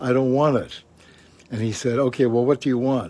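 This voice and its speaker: With a Canadian accent, a man is talking. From Canada. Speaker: co-host and former broadcaster; co-host. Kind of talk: casual chat. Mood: chatty, telling an anecdote. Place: garden.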